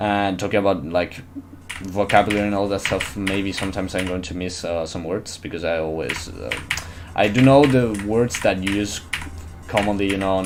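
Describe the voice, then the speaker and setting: A man with a non-native accent and a fairly low pitch talks at a moderate pace, with audible room echo and music in the background. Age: young. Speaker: gaming streamer. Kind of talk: live game stream commentary. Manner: animated.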